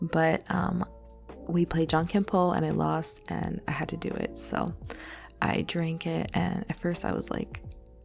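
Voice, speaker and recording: Soft-spoken and fairly slow, a woman talks over music in the background. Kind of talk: ASMR Q&A talk to listeners. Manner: casual, rambling, many filler words.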